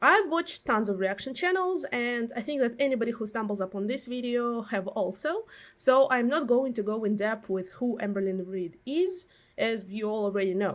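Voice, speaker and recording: This woman's voice has a fairly high pitch and lively intonation. She speaks with a Russian accent. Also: moderate pace. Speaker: commentary YouTuber. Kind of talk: video essay commentary. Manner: hesitant, many fillers.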